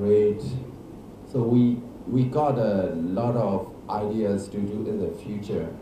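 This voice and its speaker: A man with a Burmese accent speaks at a very slow pace, with audible room echo and light background noise. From Myanmar. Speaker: actor and film director. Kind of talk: press conference. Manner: halting. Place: hall.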